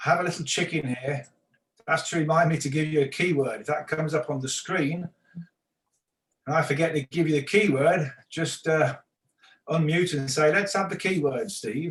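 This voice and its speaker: A man with an English accent and a fairly high pitch, moderate pace, ordinary pitch variation, and long, frequent pauses. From England. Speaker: real estate instructor. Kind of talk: online class lecture.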